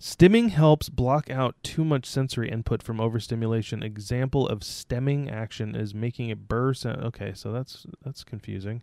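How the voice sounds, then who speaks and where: A man's medium-pitched voice with a dark, mellow tone, ordinary pitch variation and hardly any pauses, in dry, close sound with no echo and a very clean recording with a silent background. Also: moderate pace. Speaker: podcast co-host. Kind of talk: casual banter. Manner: sarcastic, joking.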